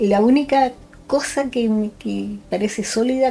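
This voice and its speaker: With music in the background, a woman with a Chilean accent speaks at a fairly high pitch with ordinary pitch variation. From Chile, Concepción. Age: 60s. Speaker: forensic doctor. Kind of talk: interview. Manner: hesitant, with frequent fillers.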